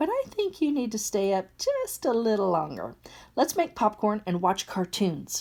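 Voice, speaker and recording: A female-sounding voice puts on a character voice at a fairly high pitch and moderate pace, recorded very cleanly against a silent background. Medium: read story.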